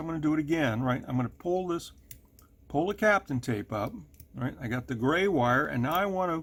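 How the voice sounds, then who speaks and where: Pitched fairly high, a man talks at a fairly quick pace. His pitch swings very widely. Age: 70s. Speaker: model railroad hobbyist tutorial maker. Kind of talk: tutorial. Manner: casual, conversational with fillers.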